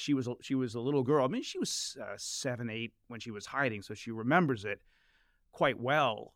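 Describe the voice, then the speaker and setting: This man has a normal speaking voice, medium in pitch, with an American accent and ordinary pitch variation. His recording is very clean and the background silent. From Washington DC area. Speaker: journalist and author. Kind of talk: casual interview conversation. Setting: studio.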